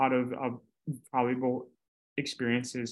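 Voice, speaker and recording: The man's voice sits at a medium pitch. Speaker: university student. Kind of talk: interview. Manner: stutters.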